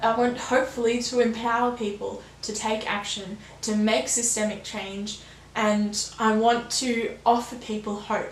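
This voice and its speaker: A woman's fairly high, monotone, flat voice at a fairly slow pace, with noticeable background noise and audible room echo. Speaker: new YouTuber, sustainability channel. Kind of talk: vlog monologue. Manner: calm, understated delivery.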